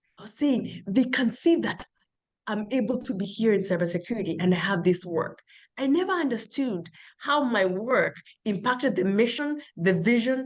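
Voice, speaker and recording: A woman's fairly high, somewhat breathy voice with lively intonation at a moderate pace. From patriarchal culture abroad, immigrant to US. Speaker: cybersecurity professional and PhD student. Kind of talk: interview testimony.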